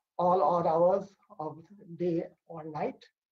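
A man's high-pitched voice, dark and mellow in tone, at a fairly slow pace against a quiet background. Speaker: academic host giving welcome address. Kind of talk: formal opening remarks. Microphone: video call.

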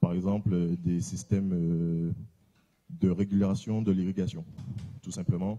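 Against a quiet background, a man speaks with a very deep, low pitch, a dark, mellow tone and fairly even intonation. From Guadeloupe. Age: 30s. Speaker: tech company founder; presenter. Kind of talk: conference presentation. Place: hall. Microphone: handheld.

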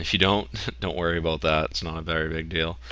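A man with an American accent talks at a fairly quick pace, his bright, sharp tone edged with vocal fry. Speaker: WordPress tutorial host. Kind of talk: screen-recording software tutorial. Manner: casual, conversational.

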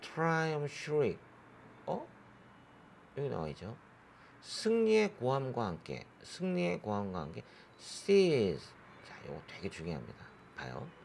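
A man speaks at a fairly slow pace with long, frequent pauses. Room echo is audible around him. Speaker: English exam tutor. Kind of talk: lecture.

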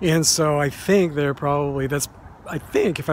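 Over light background noise, a man talks at a moderate pace with fairly even intonation in a dry sound with no echo. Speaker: cemetery tour vlogger. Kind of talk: casual vlog chat. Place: open country. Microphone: phone near.

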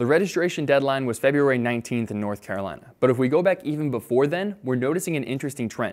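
Over a quiet background, a man speaks at a very fast pace. His intonation is lively. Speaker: student journalist. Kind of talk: TV news reporting and anchoring.

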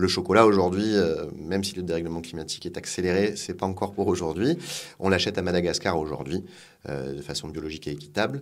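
A man's very deep, low voice at a very fast pace with ordinary pitch variation. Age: 40s. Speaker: food industry executive. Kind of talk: interview.

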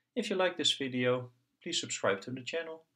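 A natural reading voice, its pitch varying in an ordinary way, comes through with a quiet background.

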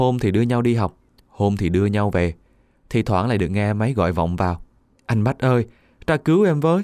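Lively in intonation, a man speaks at a fairly low pitch. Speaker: radio narrator reading listener stories. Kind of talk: reading aloud.

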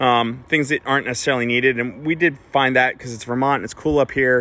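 Very fast and fairly even in intonation, a man speaks with a bright, sharp tone. The sound is dry with no echo. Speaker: car club host. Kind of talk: casual explanatory vlog chat answering questions. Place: street.

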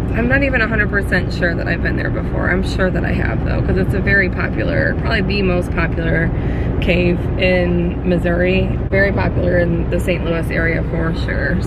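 Through loud background noise, a woman talks at a fairly quick pace in a dry sound with no echo. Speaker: family vlogger. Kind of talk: casual vlog chat. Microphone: phone near.

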